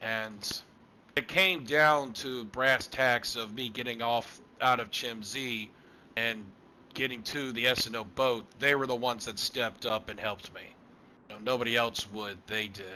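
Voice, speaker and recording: A man puts on a raspy character voice in a Texas accent. His pitch is medium, his intonation fairly even, and his pace moderate. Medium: machinima. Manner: plain-spoken, halting.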